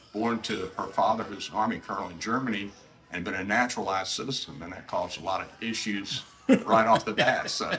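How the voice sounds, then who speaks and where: A man with an American accent talks at a fairly quick pace in a fairly low register. His intonation stays fairly even while music plays in the background. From US South, Savannah, Georgia. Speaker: retired naval officer. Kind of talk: interview.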